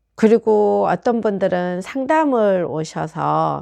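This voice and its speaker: No echo colors this dry, close recording. Behind it, the background is quiet. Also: woman. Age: 60s. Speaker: real estate agent. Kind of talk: personal testimony monologue.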